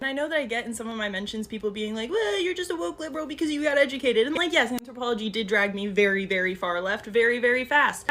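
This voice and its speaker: Very fast and with hardly any pauses, a woman speaks at a fairly high pitch with lively intonation over noticeable background noise. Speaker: social media commentator. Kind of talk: educational explainer monologue.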